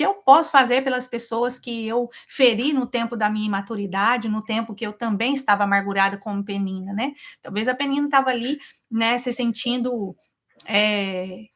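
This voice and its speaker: A woman with a rural Brazilian accent speaks at a moderate pace and a fairly high pitch with ordinary pitch variation. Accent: rural Brazilian Portuguese (self-described). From Brazil, rural countryside. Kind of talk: live devotional Bible teaching. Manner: informal, conversational with many fillers.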